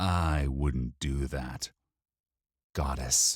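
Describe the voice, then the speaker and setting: A man growls in a put-on character voice with a very deep, low pitch and fairly even intonation, recorded dry and close with no echo. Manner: soothing, calming.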